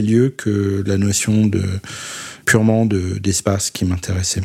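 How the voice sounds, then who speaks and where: A man's dark, mellow tone at a very slow pace, with fairly even intonation. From Paris, France. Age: 40s. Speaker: photographer. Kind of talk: interview monologue. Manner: halting, many hesitations.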